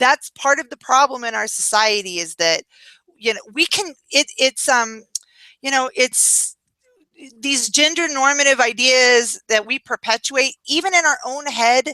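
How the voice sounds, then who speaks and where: A woman's raised, projected, high-pitched voice with a bright, sharp tone, lively intonation and a fairly slow pace, in a dry, close sound with no echo. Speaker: feminist commentator on a video chat show. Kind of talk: casual chat. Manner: animated; loud when arguing.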